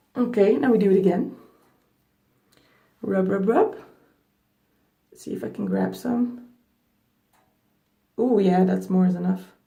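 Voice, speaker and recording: A woman with a non-native accent talks at a fairly slow pace, leaving long, frequent pauses. Her loudness swings widely, and the room echo is audible. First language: not English. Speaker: beauty vlogger. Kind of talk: hair care tutorial. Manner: casual, chatty.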